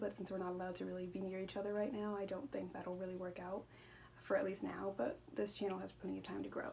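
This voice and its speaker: A woman at a medium pitch talks at a very fast pace. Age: 20s. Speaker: booktuber. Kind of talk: casual vlog monologue. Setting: at home. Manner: rambling with stumbles.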